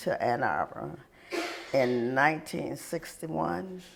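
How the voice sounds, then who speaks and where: A man's medium-pitched voice with an American accent, noticeable background noise behind it. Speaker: interviewee. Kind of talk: oral history interview.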